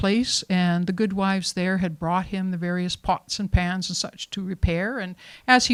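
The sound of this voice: The speaker uses an unforced reading voice. Nothing else stands out.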